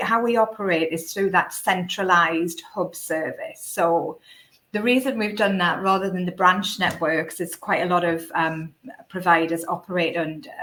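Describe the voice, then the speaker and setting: The speaker has a northeast England accent and a bright, sharp tone. The pace is moderate, with ordinary pitch variation. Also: woman. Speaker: recruitment company director. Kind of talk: webinar panel discussion. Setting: live online webinar. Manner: hesitant, many fillers.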